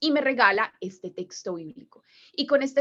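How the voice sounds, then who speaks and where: A woman's lively intonation in a strong Colombian paisa accent. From Colombia, Medellín (paisa). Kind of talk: religious talk to a group.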